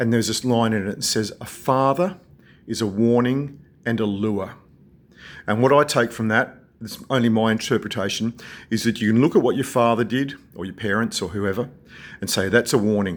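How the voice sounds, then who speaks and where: With an Australian accent, a man speaks in a calm tone at a fairly quick pace, with ordinary pitch variation and long, frequent pauses, on a very clean recording with a silent background. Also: medium pitch for a man. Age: 60s. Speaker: video blogger. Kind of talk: personal vlog monologue.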